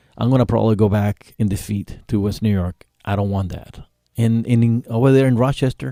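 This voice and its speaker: Speaking fairly quickly with a Spanish accent, a man has a dark, mellow tone, a fairly low pitch and fairly even intonation, on a very clean recording with a silent background and a dry, close sound with no echo. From Cuba. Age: 50s. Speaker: author and Navy veteran. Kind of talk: radio interview. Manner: halting, many fillers.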